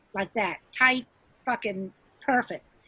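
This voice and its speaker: A woman speaks fairly quickly in an ordinary speaking voice, her pitch varying an ordinary amount. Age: 60s. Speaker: stand-up comedian. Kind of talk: casual chat.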